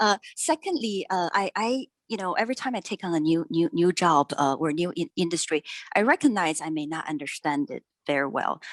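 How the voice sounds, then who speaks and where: A soft-spoken woman talks fairly quickly at a fairly low pitch with lively intonation. The sound is dry and close with no echo. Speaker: finance and blockchain executive. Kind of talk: interview. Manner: halting.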